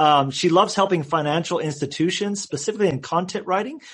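A man speaks in a plain, everyday voice at a fairly quick pace with lively intonation. The background is quiet. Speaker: podcast host. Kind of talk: interview.

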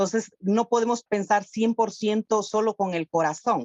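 The pace is fairly slow, in a normal speaking voice. Intonation stays fairly even. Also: woman. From Honduras. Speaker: humanitarian worker. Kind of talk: podcast interview.

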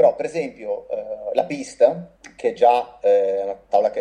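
A man speaks at a moderate pace. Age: 40s. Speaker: snowboard brand representative. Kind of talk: casual interview. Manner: halting, repeats words.

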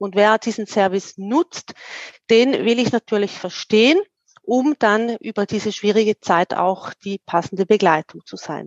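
An ordinary speaking voice, the woman's fairly high pitch moves with ordinary variation at a fairly slow pace, recorded dry and close with no echo over a quiet background. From eastern Switzerland, St. Gallen. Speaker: career coach. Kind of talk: interview conversation.

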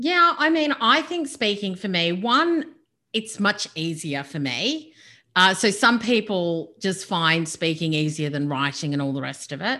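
Speaking slowly-ish at a fairly slow pace, a woman with an Australian accent uses a bright, sharp tone at medium pitch, her voice moving in very wide pitch swings. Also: very clean recording, silent background. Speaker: business and speaker coach. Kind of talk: interview. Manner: animated.

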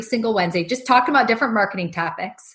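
A woman's voice comes across as somewhat breathy. Her pitch variation is ordinary. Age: 40s. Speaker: marketing agency owner. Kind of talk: interview.

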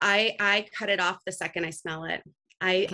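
Her tone is bright and sharp, pitched at a medium level for a woman. She speaks at a moderate pace with flat, monotone intonation. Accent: Californian. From California, Santa Cruz. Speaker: business leader. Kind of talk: interview. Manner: casual with frequent fillers.

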